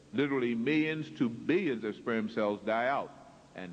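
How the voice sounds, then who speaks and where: A man's voice with audible room echo. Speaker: lecturer. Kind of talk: lecture. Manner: slow.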